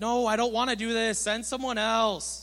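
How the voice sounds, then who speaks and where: Using a put-on character voice, a man speaks high for a man at a moderate pace. He sounds whiny, with a whiny tone throughout. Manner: begging, whiny.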